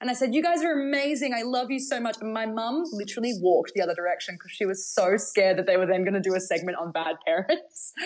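Someone with an Australian accent talks at a very fast pace with hardly any pauses and very wide pitch swings. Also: woman, fairly high pitch for a woman. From Australia, Bathurst, New South Wales. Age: 20s. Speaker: singer-songwriter and pianist. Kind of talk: casual interview. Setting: remote interview from home.

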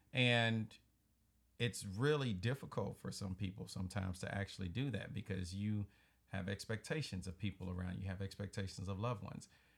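A man's fairly low, somewhat breathy voice in a Southern US accent, with ordinary pitch variation. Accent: Southern drawl. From US South. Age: 40s. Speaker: podcast host. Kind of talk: casual chat. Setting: home studio.

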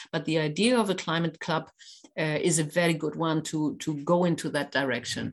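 The speaker has a German accent, moving at a fairly quick pace with ordinary pitch variation. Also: woman, very deep, low pitch for a woman. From Germany (Kiel). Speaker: business association president. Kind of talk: interview. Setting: podcast recording. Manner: hesitant, many fillers.

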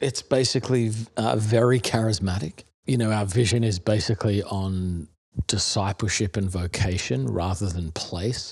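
A somewhat breathy man with an American accent, very cleanly recorded against a silent background. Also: fairly low pitch for a man, ordinary pitch variation, moderate pace. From Australia (Melbourne, Perth, Adelaide). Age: 40s. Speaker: pastor. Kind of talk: casual interview conversation.

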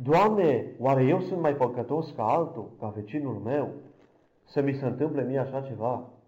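In a room with audible echo, a man with a fairly high pitch talks at a fairly slow pace. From Romania, Câmpia Turzii. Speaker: blind church minister giving testimony. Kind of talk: testimony.

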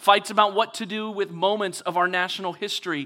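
In a very clean recording with a silent background, a man speaks at a fairly quick pace in a raised, projected voice with a bright, sharp tone. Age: 40s. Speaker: pastor. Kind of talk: sermon. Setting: church stage.

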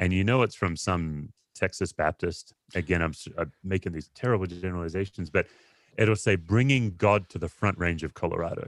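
A man with an Australian accent talks at a fairly quick pace in a very deep, low pitch with ordinary pitch variation. The sound is dry and close, with no echo. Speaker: pastor and author. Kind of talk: interview conversation. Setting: video call.

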